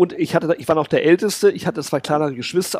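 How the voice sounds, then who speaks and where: The man has a high pitch and ordinary pitch variation. The sound is dry and close, with no echo. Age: 50s. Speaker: communications consultant and speaker. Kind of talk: interview conversation.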